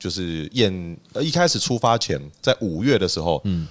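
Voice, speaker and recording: Speaking at a moderate pace, the man has a very deep, low voice. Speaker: coffee shop owner and barista competitor. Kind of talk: casual chat.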